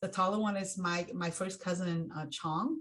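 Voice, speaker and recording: A somewhat breathy woman's voice, fairly low in pitch, at a moderate pace. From Hmong refugee from Laos/Thailand, raised in US. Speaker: racial equity consultant. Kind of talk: plenary talk. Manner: halting with many fillers.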